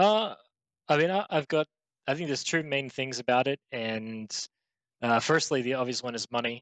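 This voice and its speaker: Over a quiet background, a man with an Australian accent and a medium-pitched voice speaks at a moderate pace with ordinary pitch variation and long, frequent pauses, in a dry, close sound with no echo. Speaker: esports pro player. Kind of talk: interview. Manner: casual, halting with fillers.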